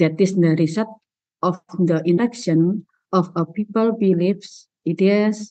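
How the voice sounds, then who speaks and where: A woman with an Indonesian accent, fairly even intonation, a dark, mellow tone, very even loudness and a fairly slow pace. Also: medium pitch for a woman. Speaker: university presenter. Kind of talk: academic presentation. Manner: halting. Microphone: connection lagging.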